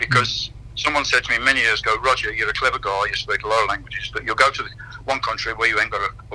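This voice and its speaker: Speaking very fast, a man is heard against noticeable background noise. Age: 60s. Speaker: fitness and conditioning coach. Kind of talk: radio interview.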